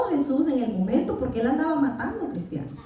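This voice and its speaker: A woman with a Salvadoran accent, audible room echo and noticeable background noise. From El Salvador. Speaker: Bible teacher. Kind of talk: Bible class lecture.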